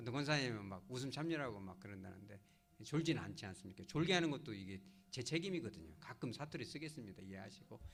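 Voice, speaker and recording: A man's very fast, somewhat breathy voice at medium pitch, with big swings in loudness, very wide pitch swings and audible room echo. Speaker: pastor. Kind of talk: sermon. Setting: church service. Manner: animated, conversational.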